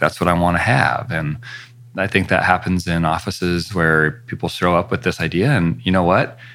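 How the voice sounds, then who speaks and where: An American man talks at a moderate pace in a very deep, low voice with ordinary pitch variation. Noticeable background noise runs underneath. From US Pacific Northwest (northern Idaho). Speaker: facial plastic surgeon. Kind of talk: interview.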